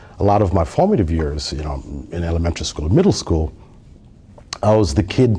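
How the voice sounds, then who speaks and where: Speaking at a fairly quick pace, a man with a Somali accent uses a very deep, low pitch and lively intonation. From Somalia, raised across East Africa and Nigeria. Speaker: tech industry manager. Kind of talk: podcast interview. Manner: hesitant, many fillers and repetitions.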